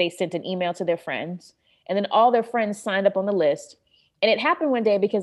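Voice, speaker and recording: A woman with an American accent has a normal speaking voice. Her pitch sits in the medium range, with lively intonation. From North Carolina, US South. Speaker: private chef and vegan food activist. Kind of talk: interview.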